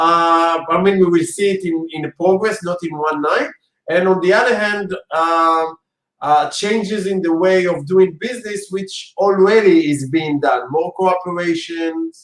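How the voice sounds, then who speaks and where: A man with an Israeli accent, high-pitched and fairly slow. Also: ordinary pitch variation. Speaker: interviewer. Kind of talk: interview.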